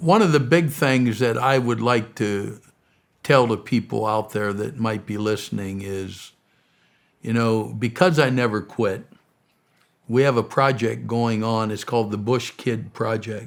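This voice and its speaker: A man with an American accent speaks fairly slowly at a medium pitch with ordinary pitch variation, in a normal speaking voice. The recording is very clean, with a silent background. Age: 60s. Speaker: missionary and charity founder. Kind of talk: interview.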